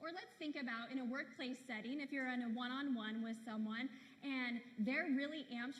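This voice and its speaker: With audible room echo, a woman with a high voice speaks in an animated tone at a moderate pace. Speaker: keynote speaker. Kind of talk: keynote speech. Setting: stage with audience.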